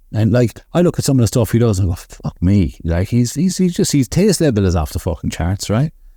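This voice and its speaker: On a very clean recording with a silent background, a man with a Limerick accent speaks in a medium pitch with a dark, mellow tone that is somewhat breathy. He talks at a fairly quick pace with hardly any pauses, very even loudness and very wide pitch swings. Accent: Limerick Irish. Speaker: barbershop owner. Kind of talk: casual chat.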